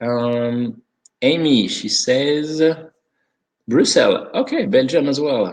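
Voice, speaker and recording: A man speaks very slowly with a French accent. His pitch swings very widely. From France. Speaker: sommelier and wine consultant. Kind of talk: webinar presentation. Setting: online video conference. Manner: halting, many fillers.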